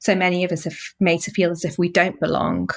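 The voice comes with a Mancunian accent on a very clean recording against a silent background. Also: woman. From Manchester, northern England. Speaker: journalist and author. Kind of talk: interview.

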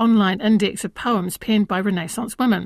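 A woman with a normal speaking voice talks at a fairly quick pace, her pitch medium with ordinary variation. The recording is very clean, the background silent. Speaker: radio host. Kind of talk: radio interview. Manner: friendly, chatty, interrupts.

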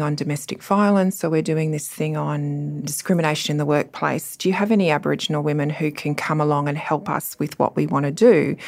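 Her pitch very deep and low, a woman with an Australian accent speaks at a fairly quick pace with ordinary pitch variation. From Australia, Cooma and Sydney. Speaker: law professor. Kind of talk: panel discussion.

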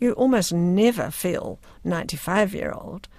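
Vocal fry in a New Zealand accent on a very clean recording with a silent background. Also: woman. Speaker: writer and playwright. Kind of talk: radio interview.

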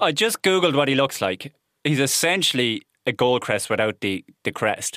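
With an Irish Midlands accent, a man speaks at a moderate pace in a bright, sharp tone, with a fairly high pitch and very wide pitch swings. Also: dry, close sound with no echo. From Ireland, Offaly (midlands). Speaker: ornithologist and biodiversity officer. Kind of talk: casual chat.

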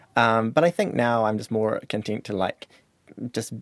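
A man speaks with a New Zealand accent. The recording is dry and close, with no echo. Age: 30s. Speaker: high school teacher. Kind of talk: interview.

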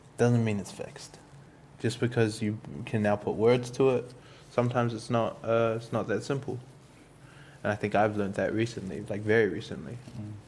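With a New Zealand accent, a man speaks with fairly even intonation and long, frequent pauses. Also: medium pitch for a man, moderate pace. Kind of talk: casual chat.

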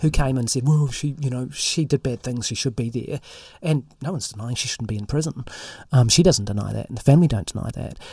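Somewhat breathy, a man with a New Zealand accent speaks at a very fast pace in a medium pitch. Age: 50s. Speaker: investigative journalist. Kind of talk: interview conversation. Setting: studio.

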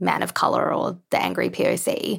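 The recording is very clean and the background silent. The voice is a woman's. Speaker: podcast host, writer and editor. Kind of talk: interview.

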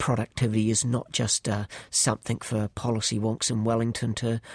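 A man's somewhat breathy voice sits at a medium pitch in monotone, flat intonation. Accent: New Zealand. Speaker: economist, chair of a government commission. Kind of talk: interview. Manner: hesitant with fillers and repeats.

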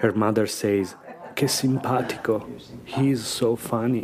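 A man's fairly low voice with a non-native accent. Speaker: podcast host. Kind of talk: personal storytelling.

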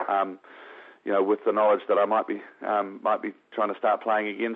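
A man with a New Zealand accent talks at a fairly quick pace. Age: 40s. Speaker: professional golfer. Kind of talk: interview.

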